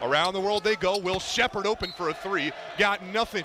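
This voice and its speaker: A man uses a raised, projected voice at a high pitch and a fairly quick pace. Noticeable background noise is present. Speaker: radio sports play-by-play announcer. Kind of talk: college basketball play-by-play. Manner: fast, energetic.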